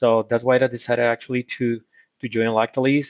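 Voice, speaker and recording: A man at a medium pitch with a Spanish accent, talking at a fairly quick pace in a dry, close sound with no echo. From Colombia. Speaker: corporate procurement executive. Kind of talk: interview. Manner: halting.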